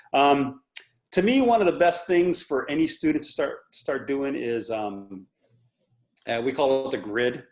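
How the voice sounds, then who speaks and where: Over music in the background, a man with a fairly high voice speaks with lively intonation. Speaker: drum corps percussion instructor. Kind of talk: video call interview with drumming tutorial. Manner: fast.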